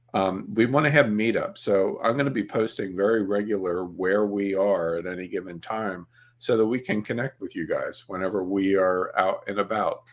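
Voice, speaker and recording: At a moderate pace and with hardly any pauses, a man talks in a fairly low pitch with ordinary pitch variation. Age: 60s. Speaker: webinar host and photography trainer. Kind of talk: casual webinar chat. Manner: casual with many filler words.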